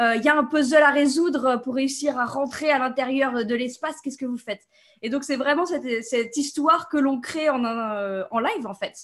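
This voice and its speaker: A woman speaks at a high pitch with ordinary pitch variation. Her pace is moderate against a quiet background. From France, south of Paris. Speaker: game designer; interviewee. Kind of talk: interview. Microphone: video call.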